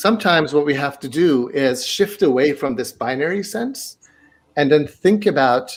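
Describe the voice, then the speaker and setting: Lively intonation marks a man's fairly high voice, delivered at a moderate pace. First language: not English (English is his third language). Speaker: math education professor. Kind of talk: interview.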